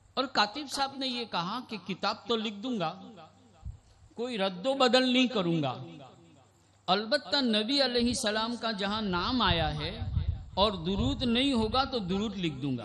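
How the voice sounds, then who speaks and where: A man with a high-pitched voice talks with lively intonation. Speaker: Islamic scholar, hadith teacher. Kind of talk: religious sermon (bayan) at an annual gathering. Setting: public event with PA system.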